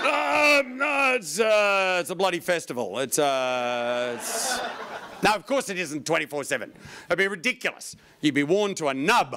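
A man at a fairly slow pace, over light background noise. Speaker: stand-up comedian. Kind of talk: stand-up comedy routine. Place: stage. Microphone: handheld.

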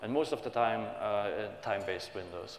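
A man speaks at a moderate pace with audible room echo and light background noise. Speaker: conference presenter. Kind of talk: technical conference talk. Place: hall.

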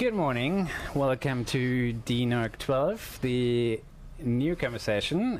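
There's light background noise behind the speaker. He's a man whose pitch shifts in an ordinary way. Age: 30s. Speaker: network community association chairman; conference host. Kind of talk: conference presentation. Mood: friendly, light humour. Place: studio.

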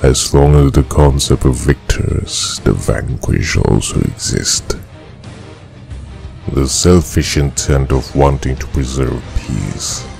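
A man puts on a character voice at a fairly slow pace. Background noise is clearly audible. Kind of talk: dramatic character monologue. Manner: slow, brooding.

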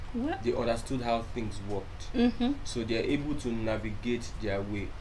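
A man with ordinary pitch variation over light background noise. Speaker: guest. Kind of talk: talk show discussion. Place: studio.

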